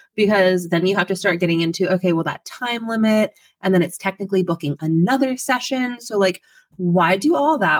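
Lively intonation and an animated tone mark this woman's medium-pitched voice in an American accent. Her fairly quick speech has a dry, close sound with no echo. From Pennsylvania. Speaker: family photographer. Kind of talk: casual chat.

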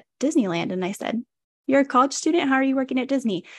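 An American accent comes through with vocal fry and ordinary pitch variation. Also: woman. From California. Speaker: podcaster. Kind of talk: casual interview.

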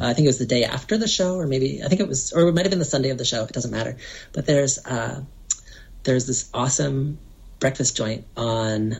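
A fairly quick pace broken by long, frequent pauses, with noticeable background noise. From small conservative religious town. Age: 40s. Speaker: cartoonist. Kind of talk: casual chat. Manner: halting.

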